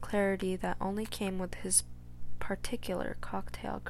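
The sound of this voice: The text is read in an unforced voice.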